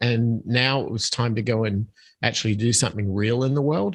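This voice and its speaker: With an Australian accent, a man talks at a moderate pace and medium pitch on a very clean recording with a silent background. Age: 50s. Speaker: podcast guest, musician. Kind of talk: interview.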